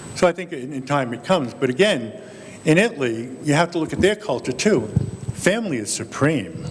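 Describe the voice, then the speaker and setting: The voice moves at a fairly quick pace with very wide pitch swings. Noticeable background noise is present. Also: man, fairly high pitch for a man. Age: 60s. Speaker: priest panelist. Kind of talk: panel discussion.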